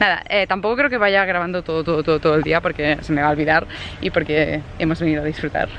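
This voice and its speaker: The speech comes very fast, dry with no echo, over light background noise. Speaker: vlogger. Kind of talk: casual vlog chat. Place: open country. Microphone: phone near.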